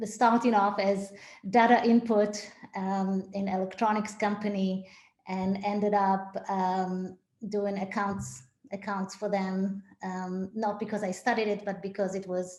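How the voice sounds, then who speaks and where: A woman talks fairly slowly at a medium pitch. Her intonation is flat and monotone. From Israel. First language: Hebrew. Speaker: synagogue executive director. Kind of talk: interview. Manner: hesitant, many fillers.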